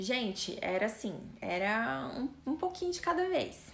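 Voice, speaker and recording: A soft-spoken woman talks in a high voice. Her pitch swings very widely. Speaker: fitness and weight-loss influencer. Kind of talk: live stream talk. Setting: live stream. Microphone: voice too quiet on stream.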